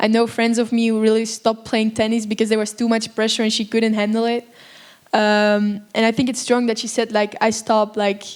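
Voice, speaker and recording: The voice moves at a fairly quick pace in a monotone, flat intonation. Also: woman, fairly high pitch for a woman. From Belgium. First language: Dutch (Flemish). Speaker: actress. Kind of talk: Q&A panel after film screening. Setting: stage with audience.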